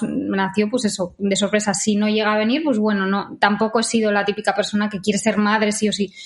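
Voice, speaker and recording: Fairly even intonation and a fairly quick pace mark this somewhat breathy voice. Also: woman. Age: 30s. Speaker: vegan social media creator. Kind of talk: interview.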